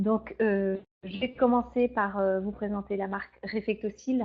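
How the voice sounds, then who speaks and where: A woman speaks at a very slow pace, her fairly high pitch held in monotone, flat intonation. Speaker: beauty trainer and beautician. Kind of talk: product training webinar. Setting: online webinar. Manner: hesitant, many fillers.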